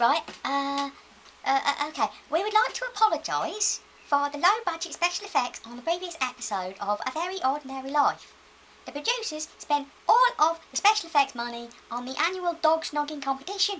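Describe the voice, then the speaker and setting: This put-on character voice moves at a fairly quick pace, with very wide pitch swings and big swings in loudness. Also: woman, high pitch for a woman. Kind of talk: political speech. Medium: comedy sketch.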